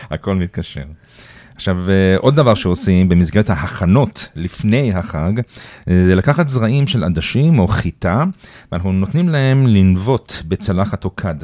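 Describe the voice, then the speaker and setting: In a slight American accent, a man with a dark, mellow tone and fairly low pitch speaks fairly slowly with lively intonation. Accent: slight American accent in Hebrew. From Iran. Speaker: Iran expert and lecturer. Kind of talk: casual chat.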